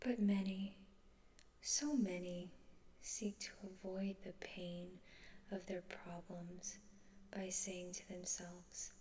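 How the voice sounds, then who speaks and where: The voice is soft-spoken and very slow. Long pauses come often. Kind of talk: book quote reading.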